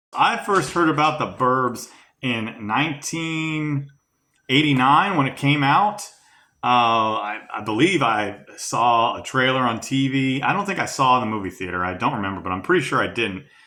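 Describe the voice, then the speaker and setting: The tone is bright and sharp, with lively intonation at a moderate pace. Audible room echo surrounds the voice. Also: man, medium pitch for a man. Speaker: film fan interviewee. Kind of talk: interview testimony. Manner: halting, many fillers.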